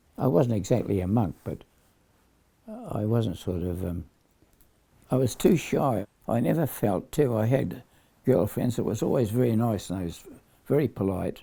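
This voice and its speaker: The voice is dark and mellow in tone, somewhat breathy, with lively intonation. It moves at a moderate pace with long, frequent pauses. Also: man, medium pitch for a man. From Perth, Australia. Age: 90s. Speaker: war veteran. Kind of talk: casual chat. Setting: at home. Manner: halting.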